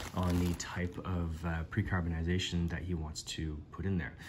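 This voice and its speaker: Noticeable background noise under a man speaking very deep and low at a moderate pace. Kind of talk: casual vlog chat. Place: home room. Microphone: phone near.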